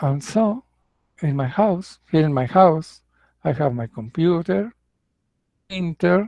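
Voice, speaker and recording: A man with a Mexican accent speaks at a very slow pace in a fairly high voice, his lively intonation broken by long, frequent pauses, the sound dry and close with no echo. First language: Spanish. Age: 60s. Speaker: English teacher. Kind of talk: casual monologue. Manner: halting.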